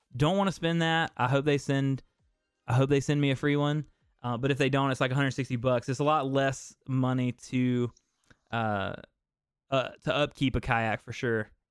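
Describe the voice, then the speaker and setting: An American accent with fairly even intonation at a moderate pace, music in the background. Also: man, medium pitch for a man. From US South. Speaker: fishing content creator and talk show host. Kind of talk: casual live-stream chat.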